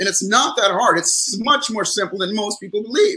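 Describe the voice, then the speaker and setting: A man projects a raised, high-pitched voice at a moderate pace. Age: 60s. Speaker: psychologist and motivational speaker. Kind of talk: interview on live stream. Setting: live stream call.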